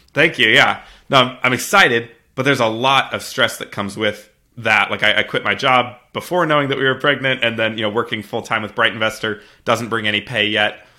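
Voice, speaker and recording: With an American accent, a man talks at a fairly quick pace at a medium pitch, using ordinary pitch variation in a plain, everyday voice. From US Midwest (Missouri). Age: 20s. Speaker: real estate investor and software founder. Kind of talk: interview. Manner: frequent fillers and restarts.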